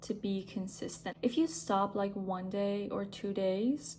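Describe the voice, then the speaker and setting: A woman with a non-native accent speaks at a fairly slow pace in a medium pitch, her voice somewhat breathy. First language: not English. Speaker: lifestyle vlogger. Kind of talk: casual vlog monologue. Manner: casual, with hesitations and fillers.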